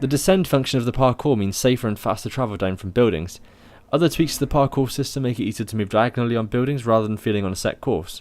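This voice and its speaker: A man talks at a very fast pace. His pitch sits in the medium range with ordinary variation. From southwest England. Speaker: video game reviewer. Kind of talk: scripted review narration.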